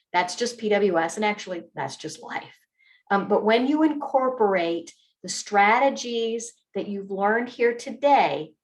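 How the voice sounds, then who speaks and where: Pitched fairly high, a woman speaks with lively intonation and a plain, everyday voice. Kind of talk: online training presentation. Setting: video call with screen share.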